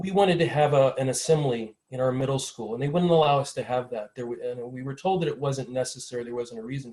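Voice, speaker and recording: A man speaks at a very fast pace with a Midwestern US accent. His pitch sits in the medium range. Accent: General American, Midwestern. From US Midwest, small-town Ohio. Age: 60s. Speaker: panelist. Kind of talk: personal testimony at a panel.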